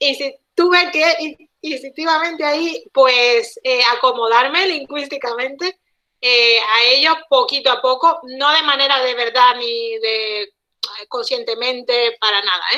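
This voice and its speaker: A raised, projected voice speaks at a fairly slow pace with ordinary pitch variation. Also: woman, high pitch for a woman. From Cuba. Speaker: guest speaker, Cuban linguist living abroad. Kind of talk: online talk interview. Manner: hesitant with many repetitions.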